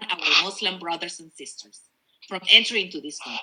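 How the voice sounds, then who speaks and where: The woman's tone is bright and sharp. She speaks with a Spanish accent. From Peru. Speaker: politician. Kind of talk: campaign speech. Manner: passionate.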